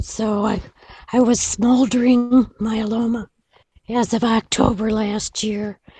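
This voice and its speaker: Her voice is dark, mellow and somewhat breathy, yet fairly high in pitch. The woman speaks at a very slow pace with monotone, flat intonation. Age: 70s. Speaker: patient. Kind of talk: group video meeting discussion.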